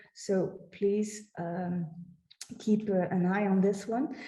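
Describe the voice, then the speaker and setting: At a very slow pace, a woman speaks in a somewhat breathy, dark and mellow voice, with audible room echo over a quiet background. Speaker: heritage project staff presenting website; presenter. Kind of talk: conference presentation with screen demo. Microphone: webcam.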